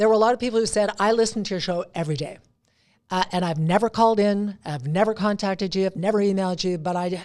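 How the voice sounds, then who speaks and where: Speaking at a very fast pace, a woman with a medium pitch has an animated tone. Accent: western Canadian. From Alberta, Canada. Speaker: veteran TV anchor and radio host. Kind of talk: casual chat.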